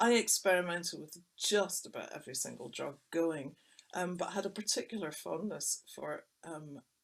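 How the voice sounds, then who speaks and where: A woman with a Scottish accent speaks at a moderate pace, her pitch fairly low. Her intonation is lively and her loudness swings widely. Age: 60s. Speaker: writer and illustrator. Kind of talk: personal testimony in a webinar talk. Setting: recorded webinar. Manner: conversational with hesitations.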